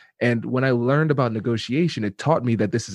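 Against a quiet background, a man with a slight Caribbean accent talks at a very fast pace and a medium pitch, with ordinary pitch variation and a dry, close sound with no echo. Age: 30s. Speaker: negotiation expert. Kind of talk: interview.

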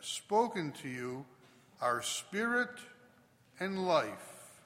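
A man's raised, projected voice at a high pitch, with very wide pitch swings, a very slow pace and long, frequent pauses. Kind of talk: gospel reading at Mass. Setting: church.

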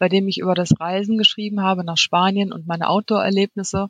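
A woman talks at a moderate pace in a medium pitch, somewhat breathy. Her intonation stays fairly even. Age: 40s. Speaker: freelance copywriter and blogger. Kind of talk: interview.

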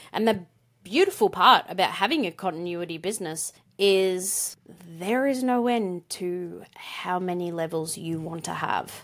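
In a very clean recording with a silent background, a woman talks at a fairly slow pace with an Australian accent. Her pitch is medium, with ordinary variation. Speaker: podcast co-host. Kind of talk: casual conversational podcast discussion.

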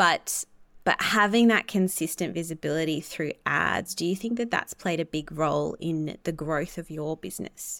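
A woman with an Australian accent at a moderate pace, ordinary pitch variation, on a very clean recording with a silent background. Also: fairly low pitch for a woman. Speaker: podcast host and astrologer. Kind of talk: interview conversation.

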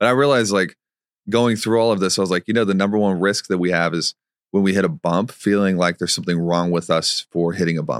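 A man's very deep, low voice at a very fast pace, loudness very even, the sound dry and close with no echo. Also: ordinary pitch variation. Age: 30s. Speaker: digital marketing consultant and author. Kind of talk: casual interview conversation.

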